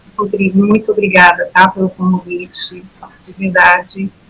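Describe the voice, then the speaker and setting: The intonation is monotone and flat. There is noticeable background noise. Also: woman. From São Paulo city, Brazil. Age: 60s. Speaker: former church member giving testimony. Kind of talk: testimony.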